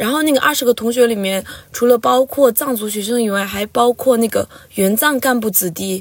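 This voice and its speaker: A woman at a moderate pace, fairly high in pitch, with ordinary pitch variation. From Lhasa, Tibet. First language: Tibetan (speaking Chinese). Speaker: university student. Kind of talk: interview.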